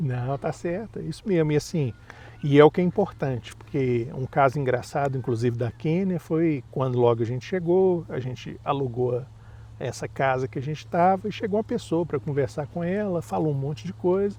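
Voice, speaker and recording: A man with a fairly high pitch and a dark, mellow, somewhat breathy tone speaks at a moderate pace. His intonation is lively. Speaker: parent vlogger. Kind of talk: casual chat.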